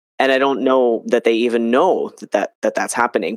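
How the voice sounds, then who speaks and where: With an American accent and a normal speaking voice, this dry, close recording has no echo and is very clean, with a silent background. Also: man. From New Jersey. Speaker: podcast host and health coach. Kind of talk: casual interview chat.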